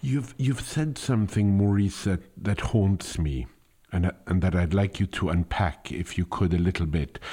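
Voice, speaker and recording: With a non-native accent, this voice has a dark, mellow tone, lively intonation, a moderate pace and very even loudness. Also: man, very deep, low pitch for a man. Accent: foreign. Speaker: podcast host. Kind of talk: interview. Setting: phone call. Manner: formal.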